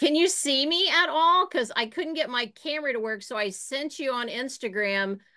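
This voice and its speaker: With a slight Southern Ohio accent, a woman speaks in a bright, sharp tone and lively intonation against a quiet background. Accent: slight Southern Ohio drawl. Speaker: online class participant. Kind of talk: casual chat.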